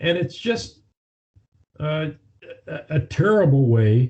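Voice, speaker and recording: A somewhat breathy man's voice, dark and mellow in tone, with very wide pitch swings. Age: 70s. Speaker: attorney and author. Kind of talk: interview.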